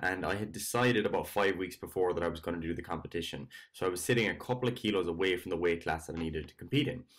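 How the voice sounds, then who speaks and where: In a quiet background, a man talks with a very deep, low pitch and ordinary pitch variation. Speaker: fitness coach. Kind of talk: casual vlog chat. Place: home room. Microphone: webcam.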